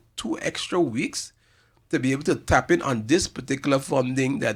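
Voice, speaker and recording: Lively intonation marks a man speaking with a St Maarten accent at a medium pitch, with vocal fry. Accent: St. Maarten Caribbean English. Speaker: community organization representative. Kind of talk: radio talk show interview. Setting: radio studio, live streamed. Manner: fast; halting, many repetitions.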